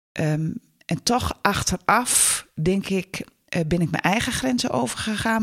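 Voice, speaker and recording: Very slow and somewhat breathy, a woman speaks with lively intonation in a dry, close sound with no echo. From northern Netherlands. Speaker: lecturer and stepfamily counsellor. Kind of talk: interview.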